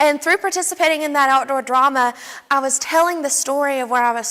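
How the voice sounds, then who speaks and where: A woman speaks with an Appalachian accent. Her tone is bright and sharp, with ordinary pitch variation. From Southwest Virginia (Wise County, Appalachia). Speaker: student researcher. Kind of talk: academic presentation.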